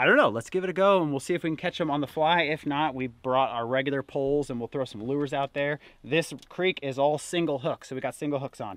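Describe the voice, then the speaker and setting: Talking at a very fast pace, a man uses ordinary pitch variation, with a dry sound with no echo. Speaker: outdoor vlogger. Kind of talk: casual vlog chat. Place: boat. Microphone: phone near.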